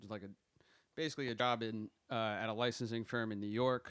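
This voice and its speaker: This man talks at a fairly quick pace with medium pitch and an American accent. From South Jersey, US. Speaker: music business graduate. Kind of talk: casual chat.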